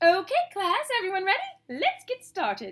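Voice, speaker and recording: In a squeaky put-on character voice, a woman speaks at extremely high pitch and a moderate pace, with very wide pitch swings. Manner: sweet, fake-nice.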